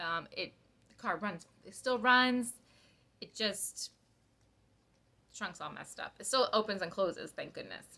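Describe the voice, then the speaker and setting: On a very clean recording with a silent background, a woman speaks at a fairly slow pace with long, frequent pauses, big swings in loudness, ordinary pitch variation and a bright, sharp tone. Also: fairly high pitch for a woman. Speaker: cross-stitch vlogger. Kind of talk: casual chat.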